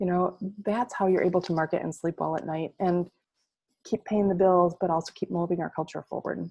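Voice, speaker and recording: Her voice is somewhat breathy, with a dark, mellow tone. The sound is dry and close, with no echo. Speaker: marketing agency presenter. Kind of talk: webinar presentation. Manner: fast.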